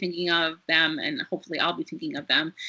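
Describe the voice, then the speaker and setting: This is a woman speaking. She goes at a very fast pace. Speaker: nonprofit executive director. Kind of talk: webinar presentation. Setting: online webinar.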